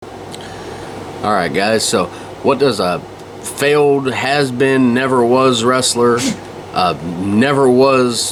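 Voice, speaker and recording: A man at a medium pitch, very slow and very even in loudness, with ordinary pitch variation and noticeable background noise. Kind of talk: rant to camera. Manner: casual, irritated, rambling.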